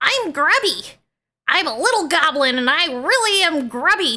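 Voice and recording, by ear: Putting on a character voice at an extremely high pitch, a woman swings her pitch very widely. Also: moderate pace.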